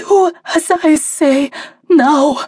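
A put-on character voice, female-sounding, hoarse and whispering, carries the clip. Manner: commanding, urgent.

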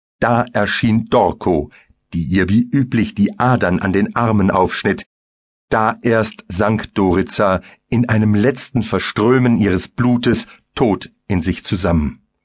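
An intense, theatrical tone comes through at a very slow pace. Loudness stays very even, and pitch varies in an ordinary way. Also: man, fairly low pitch for a man. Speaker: audiobook narrator. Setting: studio. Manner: darkly intense, vivid and theatrical, building horror with measured pacing.

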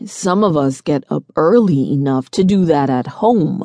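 Someone uses a put-on character voice at a middle pitch and a moderate pace. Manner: snarky, amused.

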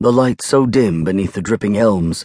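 The delivery is dramatic and fairly quick, with ordinary pitch variation. The sound is dry and close, with no echo. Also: man. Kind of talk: audiobook narration of a novel. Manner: dramatic, moody, formal period-style delivery.

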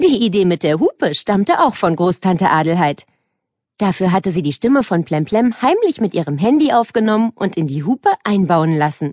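A woman at a medium pitch and moderate pace, with lively intonation and an animated, playful tone, in a dry, close sound with no echo against a quiet background. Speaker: audiobook narrator. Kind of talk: dramatic audiobook narration for children, reading a story aloud. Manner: animated, expressive, with playful character voices and shifts in tone.

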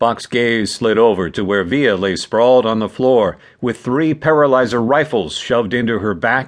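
The pitch varies in an ordinary way in a natural reading voice.

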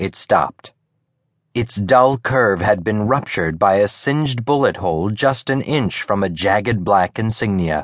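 Over a quiet background, a man speaks in an ordinary speaking voice at a medium pitch and a moderate pace, with ordinary pitch variation and a dry, close sound with no echo. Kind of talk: audiobook narration of literary fiction. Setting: studio.

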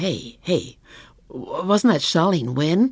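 In a put-on character voice with a slightly husky edge, the speaker goes slowly with lively intonation on a very clean recording with a silent background.

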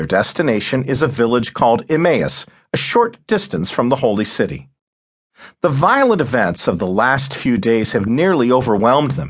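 This man uses a dramatic, solemn tone with vocal fry and lively intonation at a medium pitch. His pace is moderate, and the background is quiet. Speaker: audiobook narrator. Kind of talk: dramatic audiobook narration of nonfiction history. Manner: dramatic, solemn, measured; expressive, storytelling pace.

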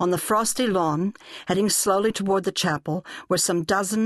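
The delivery is an unforced reading voice.

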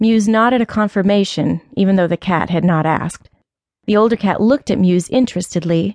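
Ordinary pitch variation runs through an unforced reading voice. Nothing intrudes from behind.

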